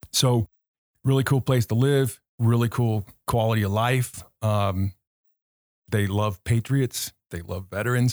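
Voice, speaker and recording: In a very clean recording with a silent background and a dry, close sound with no echo, an unremarkable speaking voice with an American accent moves at a fairly slow pace with fairly even intonation. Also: man, medium pitch for a man. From Southern California (Orange County, Anaheim). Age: 50s. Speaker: business consultant and military veteran. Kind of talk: casual interview conversation.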